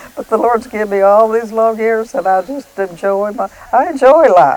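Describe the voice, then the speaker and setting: Noticeable background noise sits behind this woman's voice. She speaks with an Appalachian accent at a fairly high pitch. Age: 80s+. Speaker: farmer's mother, widow. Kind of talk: interview testimony.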